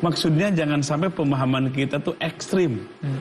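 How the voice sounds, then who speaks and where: With noticeable background noise behind him, a man talks at a moderate pace and ordinary pitch variation. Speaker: Sufi order leader giving Islamic teaching. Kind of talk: religious lecture on TV. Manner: conversational, with humorous asides.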